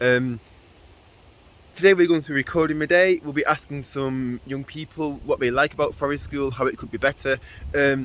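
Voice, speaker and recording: A man with an ordinary speaking voice, fairly high pitch, fairly even intonation and moderate pace. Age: 20s. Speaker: youth worker running forest school sessions. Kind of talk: casual vlog introduction. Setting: outdoors at forest school site.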